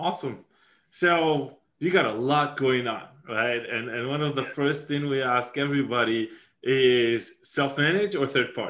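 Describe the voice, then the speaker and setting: A man with a non-native accent speaks at a moderate pace. His pitch is fairly high, with ordinary variation. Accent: foreign. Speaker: podcast host.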